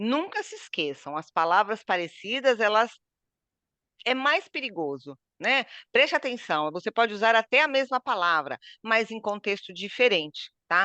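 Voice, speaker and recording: A woman with a fairly high pitch speaks at a moderate pace in a bright, sharp tone, her pitch swinging very widely and her loudness shifting a lot, recorded dry and close with no echo against a quiet background. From southeastern Brazil. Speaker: Portuguese teacher. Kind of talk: online language lesson.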